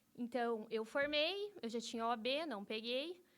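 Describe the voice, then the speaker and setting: Lively intonation runs through a voice with a bright, sharp tone. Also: woman. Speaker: lawyer. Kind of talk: interview.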